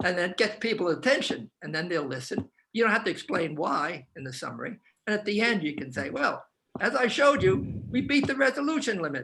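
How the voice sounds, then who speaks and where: A man speaks in a raised, projected voice at a high pitch, with very wide pitch swings and a fairly quick pace. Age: 80s+. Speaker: professor. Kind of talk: panel discussion. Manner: halting, many repeated words; fast.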